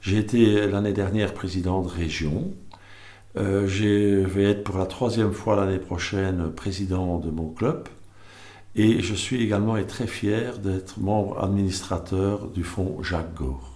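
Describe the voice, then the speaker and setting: Speaking at a very slow pace, a man has a fairly low pitch with ordinary variation. His dark, mellow tone carries audible room echo. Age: 60s. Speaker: service club candidate. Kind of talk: candidacy statement. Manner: halting, many hesitations.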